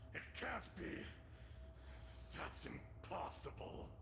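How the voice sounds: Over clear background noise, a man puts on a character voice, high-pitched with vocal fry, slow in pace and lively in intonation.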